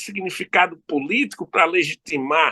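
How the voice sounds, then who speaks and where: With a raised, projected voice, a man speaks at a fairly slow pace in a bright, sharp tone full of very wide pitch swings, captured as a dry, close sound with no echo. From Brazil, Recife (Pernambuco). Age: 60s. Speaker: law professor. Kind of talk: interview.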